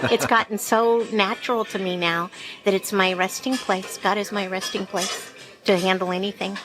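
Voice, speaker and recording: A woman's voice at medium pitch, moderate in pace with fairly even intonation, over music in the background. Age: 60s. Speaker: diner patron. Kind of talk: casual interview. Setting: diner.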